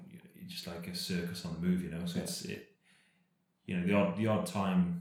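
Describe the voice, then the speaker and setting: A man with a Cardiff accent, amid audible room echo. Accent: Welsh (Cardiff). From Wales, Cardiff. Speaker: professional cyclist. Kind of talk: casual chat.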